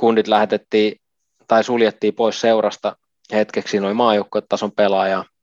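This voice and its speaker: A man with a fairly low voice speaks at a fairly slow pace, leaving long, frequent pauses. His intonation is monotone and flat, and the sound is dry and close with no echo over a quiet background. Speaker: retired ice hockey player. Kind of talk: interview. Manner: halting.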